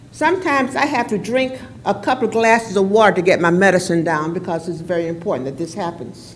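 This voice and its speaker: A woman talks very fast at a medium pitch with lively intonation. Audible room echo surrounds her voice. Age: 80s+. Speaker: resident giving public comment. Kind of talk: public comment at council meeting. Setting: council chamber podium.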